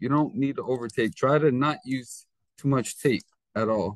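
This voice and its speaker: In a plain, everyday voice, a man speaks at medium pitch and moderate pace with ordinary pitch variation, recorded with a dry, close sound with no echo. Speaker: teacher. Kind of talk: tutorial.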